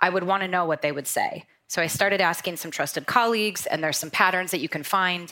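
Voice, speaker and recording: A woman with an American accent speaks at a fairly quick pace in a medium pitch, her tone bright and sharp and her intonation fairly even, on a very clean recording with a silent background. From North Dakota, US. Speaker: sales operations executive. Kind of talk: panel discussion.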